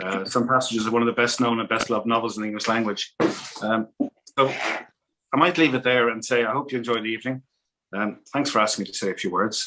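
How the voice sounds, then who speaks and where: This man has an Irish accent and a medium pitch. He talks at a very fast pace with fairly even intonation. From Ireland, Dublin. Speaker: ambassador. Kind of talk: welcoming speech. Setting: video call. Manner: hesitant, many ums.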